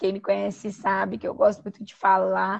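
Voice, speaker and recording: This woman's voice is somewhat breathy. She talks at a moderate pace. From Brazil, western Paraná (Toledo). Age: 30s. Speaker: psychologist and humanitarian worker. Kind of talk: interview. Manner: talkative.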